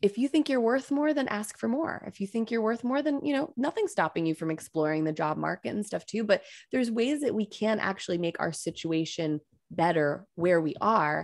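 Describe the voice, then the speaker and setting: On a very clean recording with a silent background, a woman talks at a fairly quick pace in an American accent. Her fairly high voice makes very wide pitch swings. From upstate New York. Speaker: mindset and resilience coach. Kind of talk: podcast interview.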